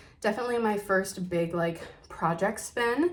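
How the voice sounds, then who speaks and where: Against noticeable background noise, a woman at a medium pitch speaks at a fairly slow pace with ordinary pitch variation. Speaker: knitting podcaster. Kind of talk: casual chat.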